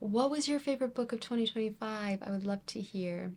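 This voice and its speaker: Fairly quick and somewhat breathy, a woman speaks at a fairly high pitch with lively intonation. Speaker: book reviewer. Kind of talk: reading wrap-up video.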